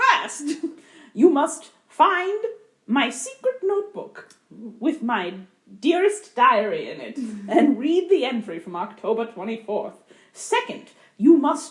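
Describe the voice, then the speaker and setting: A woman puts on a character voice, high in pitch with very wide swings, at a fairly slow pace. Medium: solo performance. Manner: pompous, theatrical.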